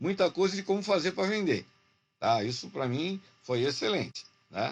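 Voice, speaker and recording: This man's voice sits at a high pitch and moves with lively intonation. His pace is moderate. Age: 70s. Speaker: university lecturer turned online entrepreneur. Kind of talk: business video meeting complaint. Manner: halting, with many fillers and restarts.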